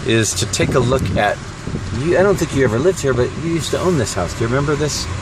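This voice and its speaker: Amid noticeable background noise and audible room echo, a man talks at a very fast pace with an American accent and lively intonation. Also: medium pitch for a man. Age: 50s. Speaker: vlogger. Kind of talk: casual chat.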